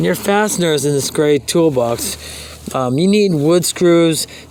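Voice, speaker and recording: Noticeable background noise is present throughout. A man talks over it. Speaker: rocket builder teaching a class. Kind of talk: video class tutorial. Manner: fast; halting, many fillers.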